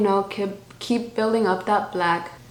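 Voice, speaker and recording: A woman with a strong Spanish accent talks at a fairly slow pace amid noticeable background noise and audible room echo. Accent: thick Spanish. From Miami, US. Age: 20s. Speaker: beauty YouTuber. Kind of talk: makeup tutorial with Q&A. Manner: casual, chatty.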